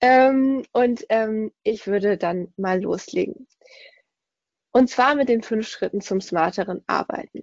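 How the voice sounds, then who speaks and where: A woman speaks at a very slow pace, leaving long, frequent pauses. Her pitch is fairly high and her intonation lively. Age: 30s. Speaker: podcast host and work coach. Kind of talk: recorded webinar presentation.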